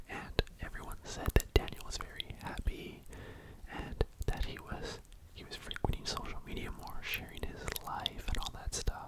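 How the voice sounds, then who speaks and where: A man whispers at a moderate pace with big swings in loudness over noticeable background noise. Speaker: ASMR YouTuber. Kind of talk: true crime storytelling, ASMR whisper ramble. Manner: whispered, soft.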